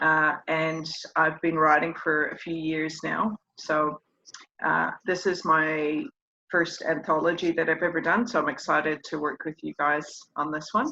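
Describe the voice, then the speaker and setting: Someone with a New Zealand accent talks at a fairly slow pace. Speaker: author. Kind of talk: interview.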